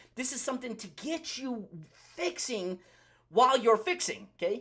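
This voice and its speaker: A loud man with an extremely high pitch, a bright, sharp tone and lively intonation. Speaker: pharmacist and naturopathy practitioner giving health talk. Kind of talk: live Q&A health talk. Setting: livestream. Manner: fast.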